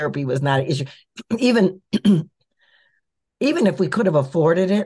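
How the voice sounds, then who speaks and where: A woman with an American accent speaks in a fairly low, somewhat breathy voice. Her tone is dark and mellow, and her pitch swings very widely. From US Midwest, Minneapolis. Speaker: author and minister. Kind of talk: interview.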